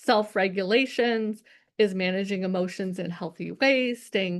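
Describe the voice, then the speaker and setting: In a normal speaking voice, a woman speaks at a medium pitch and a moderate pace. Her intonation stays fairly even. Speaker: nonprofit leadership professor and speaker. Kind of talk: conference talk. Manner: occasional stumbles and restarts.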